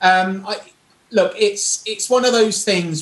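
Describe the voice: A man's fairly bright voice with fairly even intonation and audible room echo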